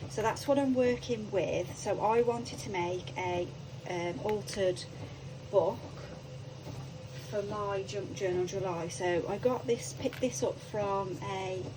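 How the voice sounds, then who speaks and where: With a British accent, a woman speaks at a fairly slow pace with very wide pitch swings and long, frequent pauses, amid noticeable background noise and audible room echo. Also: medium pitch for a woman. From UK. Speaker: crafting YouTuber. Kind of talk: craft tutorial. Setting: home craft room. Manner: hesitant, many ums; quiet.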